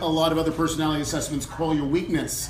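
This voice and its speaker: A man with an American accent speaks at a fairly high pitch. Noticeable background noise and audible room echo fill the recording. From Germany (US military family). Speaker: entrepreneur, personality assessment founder. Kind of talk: talk at business luncheon. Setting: luncheon event with audience. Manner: conversational, many fillers.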